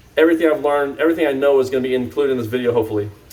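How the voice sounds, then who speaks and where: Man with fairly even intonation against noticeable background noise. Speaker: cannabis grow YouTuber. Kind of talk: casual vlog talk to camera. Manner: fast; rambling, many fillers.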